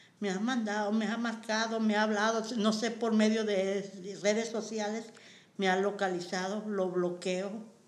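The voice runs in a monotone, flat intonation with audible room echo. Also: woman, fairly high pitch for a woman. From Mexico, San Luis Potosí (Matehuala). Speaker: community center worker. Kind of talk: personal testimony interview.

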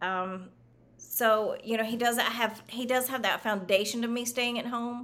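An unremarkable speaking voice belongs to a woman with an American accent, who talks at a fairly slow pace with fairly even intonation. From US South. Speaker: real estate agent. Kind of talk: interview.

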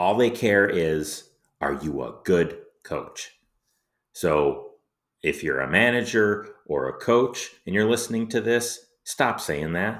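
A man's fairly low voice with vocal fry, very slow delivery and lively intonation, on a very clean recording with a silent background. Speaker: hockey podcast host. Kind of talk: opinionated rant on youth hockey coaching, direct address to listeners. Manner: emphatic, impatient, scolding tone; blunt and direct, with pointed repetition.

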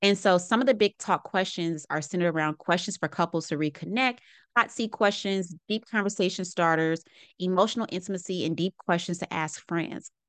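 Against a quiet background, a woman with a plain, everyday voice speaks at medium pitch and a fairly quick pace, with ordinary pitch variation and a dry, close sound with no echo. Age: 30s. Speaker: podcast host and packaging consultant. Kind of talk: solo podcast monologue. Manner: casual, conversational.

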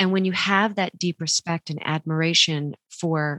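A woman with an unremarkable speaking voice talks at a fairly slow pace and a fairly low pitch, with fairly even intonation and a dry, close sound with no echo. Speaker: podcast host. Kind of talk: casual interview.

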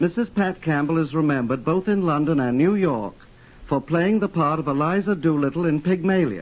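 A man with an ordinary speaking voice speaks fairly quickly, his pitch fairly high with ordinary variation. His loudness stays very even. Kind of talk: polished, formal radio introduction and next-week promo. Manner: smooth, measured, formal, with light wit.

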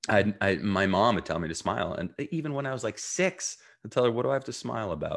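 A man's very fast, fairly low voice with an American accent, vocal fry and very wide pitch swings. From New Jersey, US. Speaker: mindfulness coach. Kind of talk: interview.

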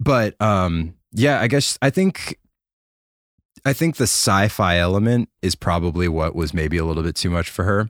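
A man speaks at a moderate pace in a very deep, low pitch with lively intonation, the sound dry and close with no echo on a very clean recording with a silent background. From US Oklahoma. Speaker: keyboard player. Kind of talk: casual chat.

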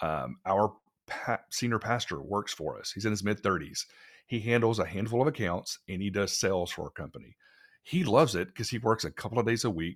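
With a Texan accent, a man with a fairly low voice speaks at a moderate pace with lively intonation. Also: very clean recording, silent background. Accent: Texan American. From Texas. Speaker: business owner, agency founder. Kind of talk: interview conversation.

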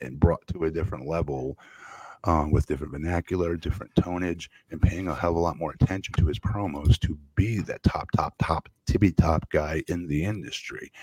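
On a very clean, dry, close recording with a silent background and no echo, a man with vocal fry speaks at a very deep, low pitch, a moderate pace and ordinary pitch variation. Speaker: wrestling podcast host. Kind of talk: casual chat. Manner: halting.

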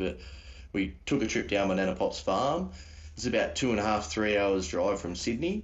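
With an Australian accent, a somewhat breathy man talks at a moderate pace amid audible room echo. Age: 30s. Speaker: paranormal YouTuber. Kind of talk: casual chat. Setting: remote call.

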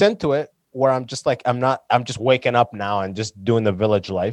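A man with an unremarkable speaking voice at medium pitch and moderate pace, dry and close with no echo, against a quiet background. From London, Ontario, Canada (born in Sudan, moved at six). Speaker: stand-up comedian and podcaster. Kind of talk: casual chat.

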